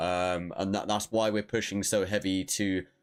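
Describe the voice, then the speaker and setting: A man talks at a moderate pace in a British accent. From Britain. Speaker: gaming livestreamer. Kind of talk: casual livestream chat. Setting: livestream. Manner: hesitant, many fillers.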